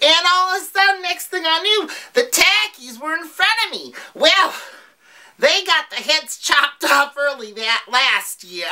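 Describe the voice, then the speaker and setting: In a put-on character voice, a woman speaks at a moderate pace with an extremely high pitch and very wide pitch swings. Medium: comedy sketch. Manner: giggly, rambling, swears cheerfully.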